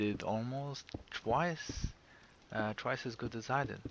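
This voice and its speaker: Here a man speaks at a very slow pace. He has a non-native accent and ordinary pitch variation. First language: not English. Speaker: gaming video creator. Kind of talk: casual gameplay commentary. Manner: halting, many fillers.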